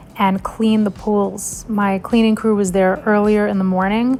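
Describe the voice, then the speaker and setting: Amid noticeable background noise, a woman talks at a moderate pace and medium pitch. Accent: American. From New York. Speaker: vlogger. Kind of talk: casual vlog talk.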